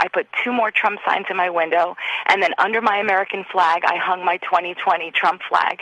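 Noticeable background noise sits behind a woman's medium-pitched voice. She keeps a moderate pace and fairly even intonation. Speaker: caller. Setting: phone call.

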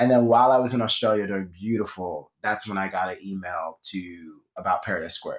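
With an American accent and a plain, everyday voice, a man talks at a fairly quick pace with hardly any pauses, using a fairly low pitch and ordinary pitch variation. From Philadelphia. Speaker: Broadway performer. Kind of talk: casual interview.

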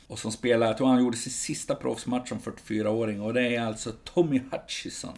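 Moderate in pace with hardly any pauses, a man uses a plain, everyday voice at a medium pitch with fairly even intonation. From Sweden. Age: 50s. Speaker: football supporters club editor. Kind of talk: casual chat.

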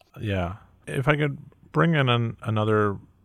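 The recording is very clean, with a silent background. A man talks at a moderate pace with lively intonation. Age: 40s. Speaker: magazine editor and podcast host. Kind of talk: interview. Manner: halting, repeats words.

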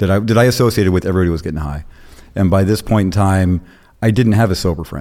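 Here a man talks at a very fast pace with a very deep, low pitch and an American accent. His tone is dark and mellow, with ordinary pitch variation. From Florida. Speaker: former prisoner. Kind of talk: casual interview. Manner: energetic.

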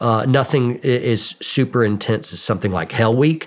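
A man with an American accent, an ordinary speaking voice, a moderate pace and ordinary pitch variation. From US South, Georgia (Atlanta suburbs). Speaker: war veteran and YouTuber. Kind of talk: interview conversation.

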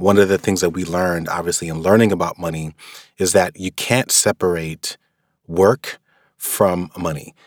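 Someone with a New York accent speaks with fairly even intonation. The sound is dry and close with no echo, on a very clean recording with a silent background. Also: man, very deep, low pitch for a man, moderate pace. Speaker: author on personal finance. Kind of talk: personal reflection with a read-aloud excerpt.

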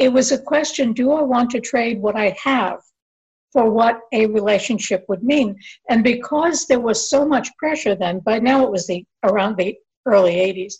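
A woman with an American accent uses an ordinary speaking voice, fairly high in pitch, with ordinary pitch variation. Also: moderate pace. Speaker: author. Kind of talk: interview.

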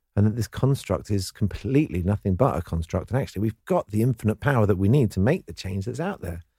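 Very fast, somewhat breathy speech with a dark, mellow tone and lively intonation, in a dry, close sound with no echo on a very clean recording with a silent background. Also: man. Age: 40s. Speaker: author and entrepreneur. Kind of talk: interview.

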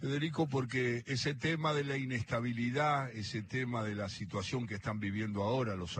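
Somewhat breathy, a man speaks with a Rioplatense accent. His pace is fairly slow and his intonation lively. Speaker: radio host. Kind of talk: interview. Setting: cafe.

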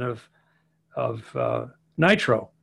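At a very slow pace, a man speaks in a somewhat breathy voice in a very clean recording with a silent background. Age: 70s. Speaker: engineer and hot rod builder. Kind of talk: casual interview.

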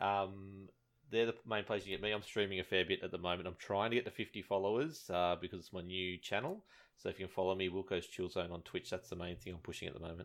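A man with an Australian accent, very deep, low pitch, a very fast pace and fairly even intonation. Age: 30s. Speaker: gaming podcaster and streamer. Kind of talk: casual chat.

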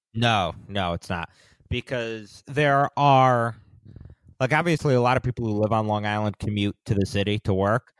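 Speaking in an ordinary speaking voice, a man with fairly low pitch and ordinary pitch variation keeps a moderate pace, the sound dry and close with no echo. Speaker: podcast host. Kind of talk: casual chat.

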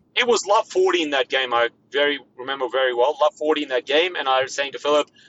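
A man with an Australian accent talks at a very fast pace, his pitch fairly high with ordinary variation. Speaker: former pro tennis player. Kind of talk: casual interview chat.

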